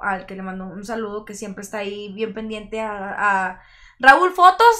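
Over a quiet background, a woman speaks at a fairly quick pace in a bright, sharp tone. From Monterrey, Nuevo León, Mexico. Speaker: singer-songwriter and rapper; guest. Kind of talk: casual interview chat. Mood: relaxed, friendly. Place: studio. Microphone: studio mic.

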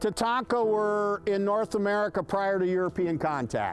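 A man's high voice at a fairly slow pace, with faint music in the background. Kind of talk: tour guide talk to a group. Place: farm machine.

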